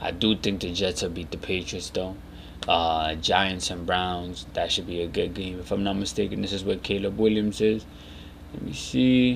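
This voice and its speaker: With a very deep, low pitch, a man speaks quietly at a moderate pace with ordinary pitch variation as audible room echo surrounds him. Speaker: sports podcast host. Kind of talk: casual solo commentary. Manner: low, quiet.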